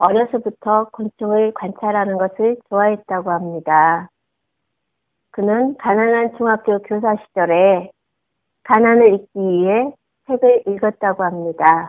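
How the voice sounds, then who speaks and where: This woman talks at a very slow pace and a medium pitch. Her pitch varies in an ordinary way. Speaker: homemaker giving a short listener talk. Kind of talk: prepared talk read aloud.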